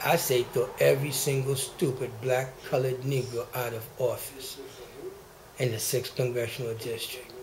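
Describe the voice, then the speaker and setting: Over noticeable background noise and audible room echo, a man speaks at medium pitch in a monotone, flat intonation at a moderate pace. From Haiti. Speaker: activist vlogger. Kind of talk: angry rant. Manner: agitated; halting.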